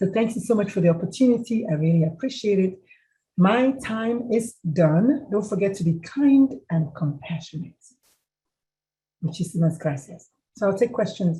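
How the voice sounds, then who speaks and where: A woman talks at a moderate pace in a somewhat breathy, dark, mellow tone with lively intonation. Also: medium pitch for a woman. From Nigeria. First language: a Nigerian language. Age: 50s. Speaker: mental health speaker. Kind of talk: presentation with Q&A. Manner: animated.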